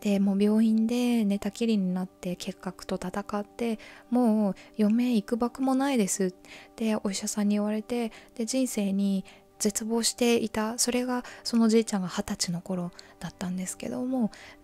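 A woman speaks at a moderate pace with fairly even intonation. She has a normal speaking voice. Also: fairly high pitch for a woman. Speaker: mental health radio host. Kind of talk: sleep-inducing confessional radio talk. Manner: soft, calm, conversational.

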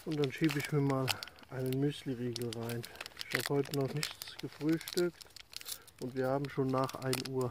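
Recorded with a dry sound and no echo amid noticeable background noise, a man talks at a moderate pace. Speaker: hiking vlogger. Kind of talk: casual vlog chat. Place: open country. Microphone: phone near.

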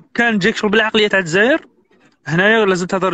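A man talks at a very fast pace in a bright, sharp tone. The sound is dry, with no echo. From Algeria. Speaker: immigrant sharing advice; guest. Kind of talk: casual interview. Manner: animated.

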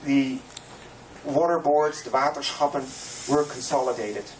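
The background carries noticeable noise. A male voice talks at a fairly slow pace. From Netherlands. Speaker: landscape planner. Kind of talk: public talk presentation.

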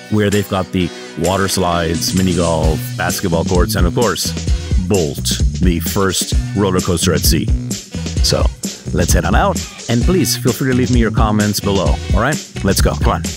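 Over clear music in the background, a man speaks at a moderate pace with long, frequent pauses, the sound dry with no echo. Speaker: travel vlogger. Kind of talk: casual vlog chat. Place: hall. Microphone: handheld.

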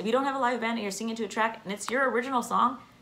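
A very fast pace, bright, sharp tone and ordinary pitch variation over faint background noise. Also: woman, fairly high pitch for a woman.

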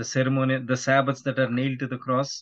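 Against a quiet background, a man is talking. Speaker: podcast guest, evangelist. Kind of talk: interview answer. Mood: calm, earnest. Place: home room. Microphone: video call.

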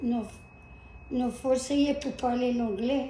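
A woman with a high voice speaks very slowly with fairly even intonation. The room echo is audible, and there is light background noise. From Louisiana. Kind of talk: interview answer. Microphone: camera far.

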